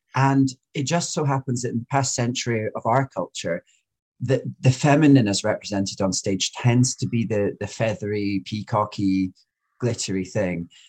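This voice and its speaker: The recording is very clean, with a silent background and a dry, close sound with no echo. A man speaks at a moderate pace in a somewhat breathy voice. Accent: Scottish. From Scotland. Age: 30s. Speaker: drag queen podcast host. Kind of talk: interview conversation.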